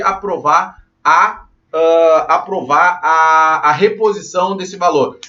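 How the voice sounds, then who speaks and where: A man's high voice with a Brazilian accent and ordinary pitch variation. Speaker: condominium management instructor. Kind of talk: live online class. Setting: livestream.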